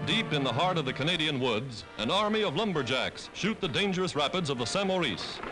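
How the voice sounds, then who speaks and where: With music in the background, a man with a high pitch talks at a fairly quick pace using lively intonation. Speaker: newsreel narrator. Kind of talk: wartime newsreel narration. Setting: vintage 1940s newsreel recording.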